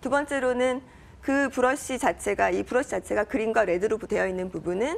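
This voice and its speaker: Speaking at a fairly quick pace, a woman with a fairly high pitch shows vocal fry and ordinary pitch variation. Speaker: startup CEO. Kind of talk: interview. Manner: fast.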